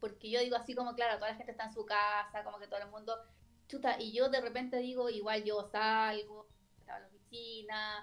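A woman in a Chilean accent at a fairly quick pace, with big swings in loudness. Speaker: lawyer. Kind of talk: casual chat.

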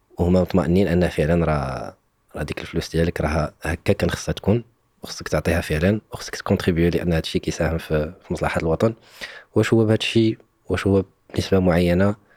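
A man's very deep, low voice at a very fast pace, dry and close with no echo. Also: ordinary pitch variation. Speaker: podcast host, former civil servant. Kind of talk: casual interview conversation.

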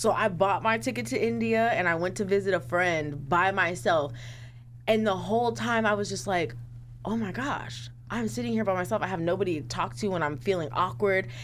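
A woman speaks at a fairly quick pace with vocal fry. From South Sacramento, California. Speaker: counselor and advocate. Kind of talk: casual chat.

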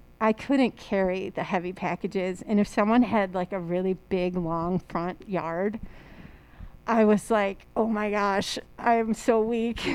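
In a very clean recording with a silent background, a woman with an unremarkable speaking voice talks fairly slowly at a medium pitch, her intonation fairly even. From Chicago area, Illinois. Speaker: high school history teacher and volleyball coach. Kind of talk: casual chat.

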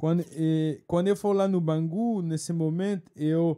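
A man with a French accent speaks fairly slowly in a high pitch, with a dark, mellow tone. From France. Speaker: bartender. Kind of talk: interview. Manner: halting.

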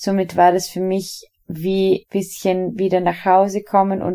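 A woman speaks in a dark, mellow tone. Her pace is very slow. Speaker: dance podcast host and dancer. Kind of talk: personal monologue.

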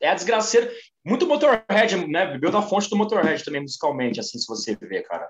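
This man's speech is high-pitched and fairly quick. His pitch rises and falls over a very wide range. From Brazil, São Paulo ABC region. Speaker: music podcast guest. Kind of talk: casual chat.

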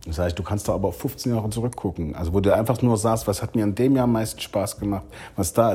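A man's somewhat breathy voice, dark and mellow in tone, with lively intonation and a fairly quick pace. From eastern Germany (Saxony, Leipzig). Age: 40s. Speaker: restaurateur and business association president. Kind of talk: podcast interview.

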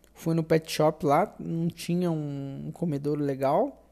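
A woman's voice sits very deep and low, with a dark, mellow tone. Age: 20s. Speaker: podcaster, university student. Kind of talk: casual monologue. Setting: at home. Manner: halting, hesitant.

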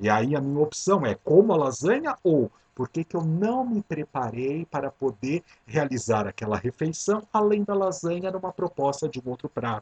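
A somewhat breathy man's voice, fairly high in pitch, with very wide pitch swings at a moderate pace in a dry, close sound with no echo. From Brazil, São Paulo city. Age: 50s. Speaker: podcast host, transpersonal psychology. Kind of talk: reflective monologue.

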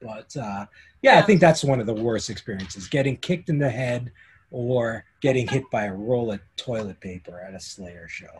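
Speaking at a moderate pace and medium pitch, a man uses lively intonation with a somewhat breathy voice. The recording is very clean, the background silent. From Canada. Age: 50s. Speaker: concert photographer. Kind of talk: casual interview.

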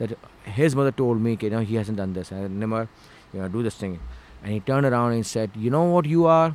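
Speaking with a Pakistani accent, a man moves at a fairly quick pace. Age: 40s. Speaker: filmmaker and actor. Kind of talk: casual interview chat. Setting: studio.

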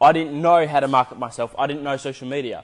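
Animated and at a fairly quick pace, a man with a fairly high voice speaks with an Australian accent. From Australia, Adelaide. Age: 20s. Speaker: video editor and podcaster. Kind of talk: casual monologue.

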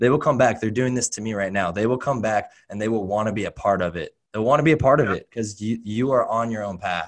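An ordinary speaking voice from a man, fairly low in pitch with ordinary variation. The recording is very clean, with a silent background. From Oregon, US. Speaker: fitness coach. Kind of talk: casual interview.

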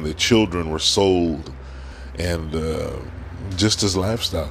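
A man speaks in a very deep, low pitch. His pace is fairly slow. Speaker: podcast host. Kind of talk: opinion monologue. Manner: frequent filler words and hesitations.

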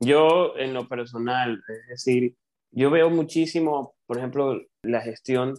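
A man with an Ecuadorian accent is heard in a dry, close sound with no echo. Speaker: coach. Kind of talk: interview.

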